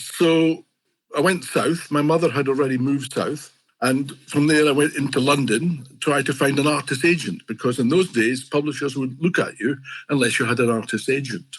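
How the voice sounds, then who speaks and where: A man with a Scottish accent, fairly high pitch, ordinary pitch variation, a moderate pace and very even loudness. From Scotland. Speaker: fantasy illustrator. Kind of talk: interview. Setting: podcast.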